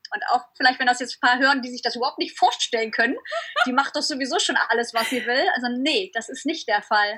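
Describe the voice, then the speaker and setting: An animated, raised and projected voice races at a very fast pace with lively intonation. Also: woman, high pitch for a woman. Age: 30s. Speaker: surf blogger and entrepreneur. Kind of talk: interview.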